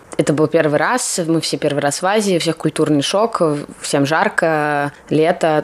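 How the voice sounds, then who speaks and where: A woman's very deep, low pitch with ordinary pitch variation at a moderate pace, over noticeable background noise. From Russia. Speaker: designer and graduate student. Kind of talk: interview.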